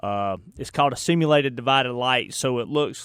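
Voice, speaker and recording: With a Southern US accent, a man talks over a silent background in a very clean recording. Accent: Southern US drawl. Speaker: radio host. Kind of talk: casual chat. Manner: animated.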